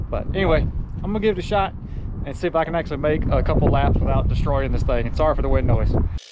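Loud background noise surrounds a man. He talks at a very fast pace, with a dry sound and no echo. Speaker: RC hobby vlogger. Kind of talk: casual vlog chat. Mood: cheerful, self-deprecating. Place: open country. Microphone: phone near.

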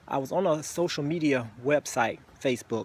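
The recording is dry with no echo and has light background noise, and the voice shows ordinary pitch variation. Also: man. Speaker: vlogger. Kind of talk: casual vlog chat. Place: garden. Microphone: phone near.

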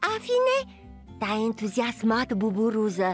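What we hear is plain reading aloud.

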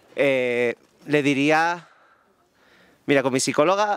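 A man with an Andalusian accent at a fairly slow pace, dry with no echo against a quiet background. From southern Andalusia, Spain. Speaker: wedding photographer; guest. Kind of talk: interview. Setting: live audience event. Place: garden. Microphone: handheld.

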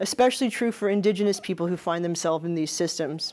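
Pitch variation is ordinary. The speaker is a woman.

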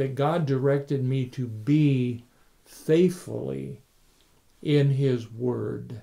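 A man's dark, mellow voice moves with ordinary pitch variation. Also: quiet background. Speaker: pastor. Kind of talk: sermon. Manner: warm, conversational; earnest, teaching.

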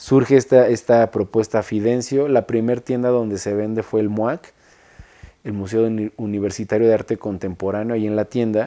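At a moderate pace, a man speaks in a dark, mellow tone with fairly even intonation against a quiet background. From Mexico City. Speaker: industrial designer. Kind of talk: interview monologue; interview answer. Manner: halting, many repetitions and fillers. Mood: relaxed, reflective. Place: studio.

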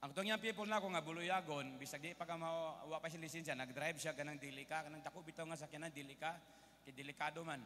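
Bright and sharp in tone, a man with a fairly high pitch talks at a very fast pace with an animated tone over light background noise. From Philippines. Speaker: preacher. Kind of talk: sermon. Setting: stage with audience. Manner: animated, call-and-response, keeps asking the congregation for an Amen; switches between Tagalog, English and Cebuano, with humorous asides. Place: hall. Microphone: handheld.

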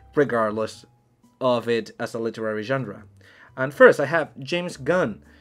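Faint music plays behind this man's voice. He talks at a moderate pace. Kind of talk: lecture-style explanation. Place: home room.

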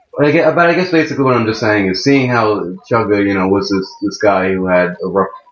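A man talks at a fairly quick pace with lively intonation, with audible room echo and light background noise. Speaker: gaming video creator. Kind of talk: let's play gameplay commentary. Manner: animated.

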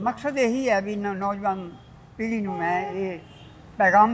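A man speaks with a high voice. Light background noise can be heard. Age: old. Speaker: retired army serviceman. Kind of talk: interview answer. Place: street. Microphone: lapel.

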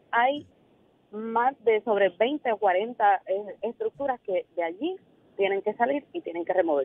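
A woman's fairly high voice shows very wide pitch swings. She keeps a fairly slow pace with long, frequent pauses. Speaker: government cabinet secretary. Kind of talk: radio interview. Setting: phone call.

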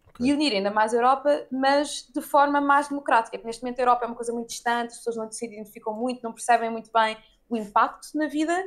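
A woman's high voice at a very fast pace with hardly any pauses, fairly even intonation, big swings in loudness, and a quiet background. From Portugal. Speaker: politician. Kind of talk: interview. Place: home room. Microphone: video call.

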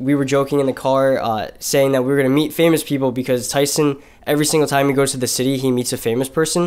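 A man talks at a very fast pace with flat, monotone intonation and very even loudness. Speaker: vlogger. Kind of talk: casual vlog chat. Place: home room.

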